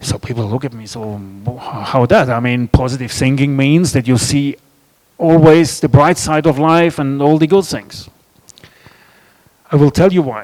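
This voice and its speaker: A man with a German accent speaks at a moderate pace and a fairly high pitch, with ordinary pitch variation. His loudness swings widely, and he takes long, frequent pauses. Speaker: author and speaker. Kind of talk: festival talk.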